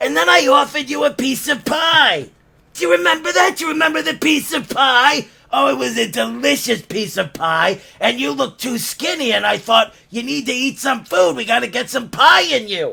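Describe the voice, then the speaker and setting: A man uses a put-on character voice at an extremely high pitch. His pitch swings very widely at a moderate pace. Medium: comedy sketch. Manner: giggly, catty, rambling.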